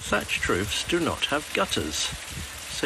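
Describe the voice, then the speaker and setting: The speaker has an English accent, and there is noticeable background noise. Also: man. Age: 70s. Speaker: retired primary school teacher. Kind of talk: TikTok video narration.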